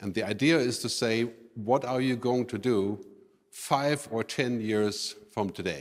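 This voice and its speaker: A man with a German accent. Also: very clean recording, silent background. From Germany. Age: 50s. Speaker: futurist speaker. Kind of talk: conference keynote. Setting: stage with audience.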